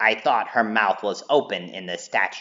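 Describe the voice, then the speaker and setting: A man speaks in a put-on character voice. He keeps a moderate pace. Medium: read story. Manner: dry, wry.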